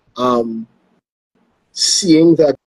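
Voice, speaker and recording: A man with a Trinidadian accent speaks at a very slow pace with ordinary pitch variation. The sound is dry and close, with no echo. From Trinidad and Tobago. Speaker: sports show host. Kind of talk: interview. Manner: halting.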